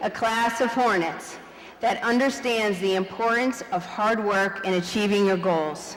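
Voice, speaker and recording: A woman at a fairly high pitch with ordinary pitch variation, against noticeable background noise. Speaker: vice principal. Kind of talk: graduation speech. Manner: animated, loud.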